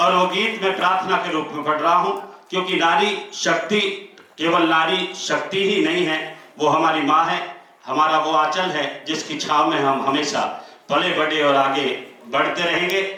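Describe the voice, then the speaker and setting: A loud man speaks at a high pitch with fairly even intonation. Noticeable background noise and audible room echo fill the recording. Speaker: folk singer performing at event. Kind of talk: stage announcement to audience.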